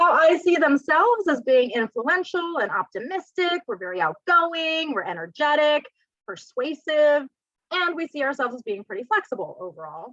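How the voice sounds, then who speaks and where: Loud and high-pitched, a woman speaks at a moderate pace with very wide pitch swings in a dry, close sound with no echo. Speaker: real estate career trainer. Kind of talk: training presentation.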